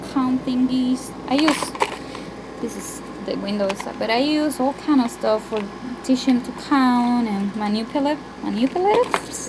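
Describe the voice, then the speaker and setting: Over noticeable background noise, a woman speaks at a fairly slow pace, her high pitch showing ordinary variation. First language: Spanish. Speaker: homeschooling parent. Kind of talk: room tour. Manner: casual, halting.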